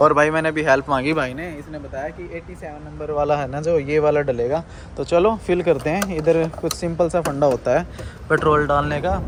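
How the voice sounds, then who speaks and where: Over noticeable background noise, a man speaks at a moderate pace in a fairly high pitch. His intonation stays fairly even while his loudness swings widely. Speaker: travel vlogger. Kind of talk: casual vlog narration. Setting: outdoors at petrol station. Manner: casual, conversational.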